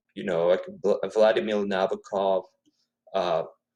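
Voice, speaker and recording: A man is speaking. He has a Spanish accent. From Ecuador (Quito). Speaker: author, poet. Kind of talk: interview. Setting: live video stream.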